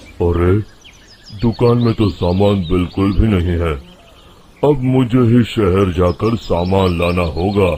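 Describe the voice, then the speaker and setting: In a put-on character voice, a man rumbles at a very deep, low pitch, speaking at a fairly slow pace with very even loudness. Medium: cartoon. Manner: grumbling.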